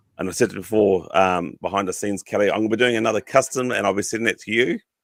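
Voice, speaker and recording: Dry and close with no echo, a man with a New Zealand accent talks at a very fast pace, his fairly low pitch held in fairly even intonation. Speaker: podcast host. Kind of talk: casual chat.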